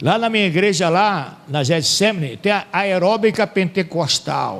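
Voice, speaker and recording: The man has a high-pitched voice. His intonation is lively. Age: 60s. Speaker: Bible teacher. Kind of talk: lecture. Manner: conversational.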